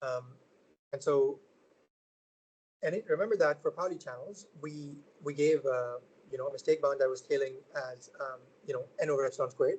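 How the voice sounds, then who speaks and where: Talking at a fairly quick pace, a man leaves long, frequent pauses. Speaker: researcher giving a seminar talk. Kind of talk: lecture. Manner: fast; halting, many fillers.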